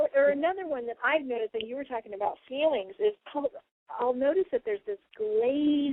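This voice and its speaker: A woman speaks at a high pitch with very wide pitch swings. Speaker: radio show host and spiritual channeler. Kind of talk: casual radio talk. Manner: fast.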